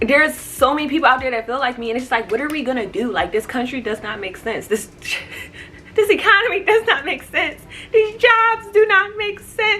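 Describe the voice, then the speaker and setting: A woman's raised, projected voice with very wide pitch swings, music in the background. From United States. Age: 20s. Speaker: vlogger. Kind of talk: casual vlog rant. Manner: animated, stuttering when upset.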